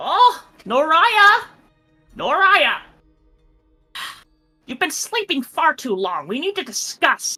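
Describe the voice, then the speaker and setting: A put-on character voice, extremely high-pitched with very wide pitch swings, at a fairly slow pace with faint music in the background. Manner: nagging, insistent.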